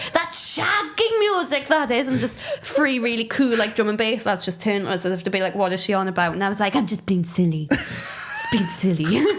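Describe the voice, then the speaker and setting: In a Geordie accent, a woman talks at a fairly quick pace with hardly any pauses, her fairly high pitch making very wide swings. Noticeable background noise runs underneath. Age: 30s. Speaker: comedian. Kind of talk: casual chat. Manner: animated.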